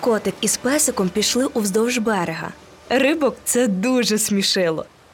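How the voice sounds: The pitch moves in an ordinary way through a natural reading voice.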